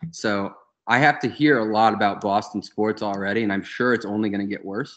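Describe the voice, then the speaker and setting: Speaking with an American accent, a man with a plain, everyday voice and a fairly low pitch talks at a fairly quick pace with fairly even intonation. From US South. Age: young. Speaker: golf podcast co-host. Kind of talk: casual chat.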